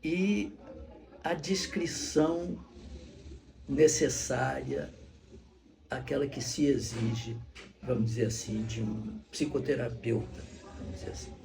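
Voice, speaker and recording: Music plays in the background of a room with audible echo. The speaker moves at a very slow pace with long, frequent pauses and very wide pitch swings. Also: man, medium pitch for a man. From Brazil (born Rio de Janeiro, teen years in Salvador). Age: 70s. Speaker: actor and retired psychologist. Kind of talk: documentary interview. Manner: halting, with repeated words.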